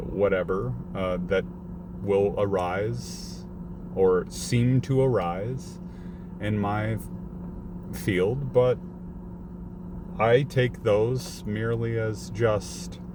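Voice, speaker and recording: With long, frequent pauses, a man with a very deep, low voice and very wide pitch swings speaks amid audible room echo and noticeable background noise. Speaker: delivery driver vlogger. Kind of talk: casual vlog rant. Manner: halting, stuttering.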